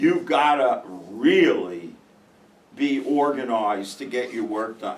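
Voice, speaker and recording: A man with an American accent speaks at a very slow pace. His speech has long, frequent pauses. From New York (Brooklyn). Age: 70s. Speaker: professor. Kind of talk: casual classroom talk.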